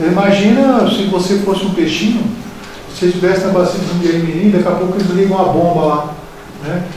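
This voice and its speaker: A man's high voice at a very fast pace, fairly even in intonation, with strong room echo and light background noise. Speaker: environmental technician. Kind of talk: panel discussion. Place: hall.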